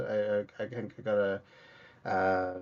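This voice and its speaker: Against a quiet background, a man talks with an Irish accent. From Ireland, Cork. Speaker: comedian and podcaster. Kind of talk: interview conversation. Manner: halting, many fillers and repeats.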